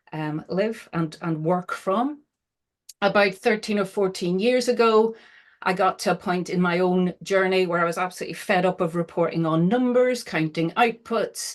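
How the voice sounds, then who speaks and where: A woman at medium pitch with a Northern Irish accent, moderate pace, quiet background. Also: ordinary pitch variation. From Northern Ireland. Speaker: social value consultant and trainer. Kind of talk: webinar presentation. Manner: hesitant, many fillers.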